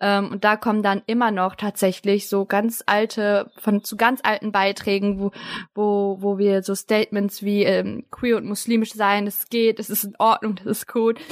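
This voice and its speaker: A woman at a medium pitch speaks at a fairly slow pace and in a monotone, flat way, with a dry, close sound and no echo. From Germany, Turkish family. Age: 20s. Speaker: podcaster and student. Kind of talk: casual chat. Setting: remote call.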